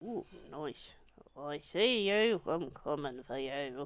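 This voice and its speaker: A put-on character voice sits at a low-to-middle pitch and moves at a fairly slow pace. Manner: playful, silly.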